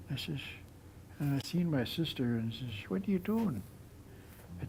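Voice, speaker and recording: Somewhat breathy, a man talks at a fairly slow pace with a medium pitch. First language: Nlaka'pamux. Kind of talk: interview storytelling. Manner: halting.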